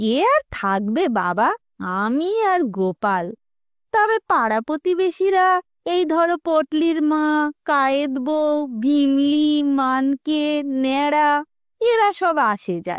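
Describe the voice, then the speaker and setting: A shrill, high-pitched put-on character voice of a woman at a very slow pace, with very wide pitch swings, in a very clean recording over a silent background. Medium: read story. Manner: rustic dialect, emotional and bossy.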